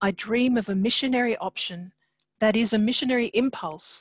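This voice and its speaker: Speaking at a moderate pace with ordinary pitch variation, a woman sounds somewhat breathy against a quiet background, the sound dry with no echo. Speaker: host introducing a lecture. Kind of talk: formal welcome and introduction. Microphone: video call.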